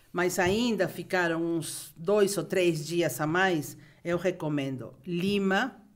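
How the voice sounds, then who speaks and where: A woman with a Peruvian accent speaks at a very slow pace. Her pitch is fairly low, with ordinary pitch variation. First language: Spanish (speaking Portuguese). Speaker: travel expert. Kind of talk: podcast interview.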